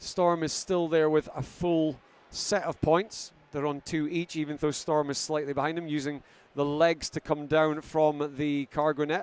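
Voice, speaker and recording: A Scottish accent marks this man's fairly high voice, which moves at a fairly slow pace in a very clean recording with a silent background. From Scotland. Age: 50s. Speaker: sports commentator. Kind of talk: live commentary. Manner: animated.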